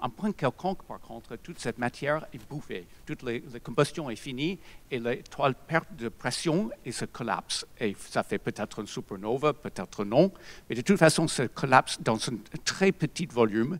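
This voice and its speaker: Lively intonation and big swings in loudness at a moderate pace, on a very clean recording with a silent background. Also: man, medium pitch for a man. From USA. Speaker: physicist. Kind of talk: lecture. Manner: halting.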